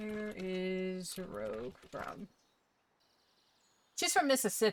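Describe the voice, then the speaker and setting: In a slight Southern US accent, a woman speaks at a very slow pace. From US South, Jacksonville, Northeast Florida. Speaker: streamer. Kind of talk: casual gaming stream chat. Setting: live stream, home setup. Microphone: new audio setup, possible audio issues.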